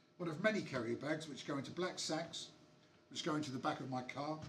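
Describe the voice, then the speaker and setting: Amid audible room echo and noticeable background noise, the speaker talks at a fairly quick pace with ordinary pitch variation and long, frequent pauses. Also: man. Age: 60s. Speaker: punk poet and musician. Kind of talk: poetry performance; casual chat between poems.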